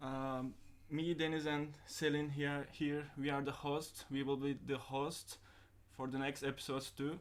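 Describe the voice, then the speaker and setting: Speaking in a Turkish accent, this man has a fairly high pitch. His pace is fairly slow. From Turkey (Antalya). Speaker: podcast host. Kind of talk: casual chat. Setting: live stream.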